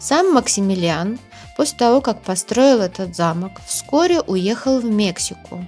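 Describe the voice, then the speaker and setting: With music in the background, a woman speaks at a very slow pace with lively intonation. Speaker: travel vlogger. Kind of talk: travel narration. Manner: soft-spoken.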